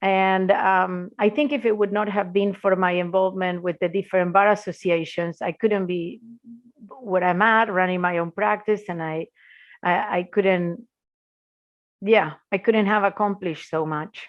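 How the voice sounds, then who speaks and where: Speaking in an Argentine accent, a woman keeps a medium pitch and fairly even intonation at a moderate pace. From Argentina. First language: Spanish. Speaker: intellectual property lawyer, law firm founder. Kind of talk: podcast interview.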